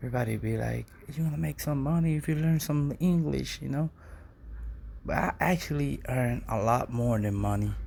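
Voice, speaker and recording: With a non-native accent, a man talks at a moderate pace. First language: Spanish. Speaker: poet. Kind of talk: casual monologue; spoken word poetry reading. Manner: halting.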